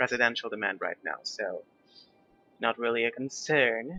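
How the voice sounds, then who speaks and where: Over music in the background, a man speaks at a moderate pace with ordinary pitch variation. The sound is dry and close, with no echo. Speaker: gaming YouTuber. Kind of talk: gameplay commentary. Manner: casual, hesitant with fillers.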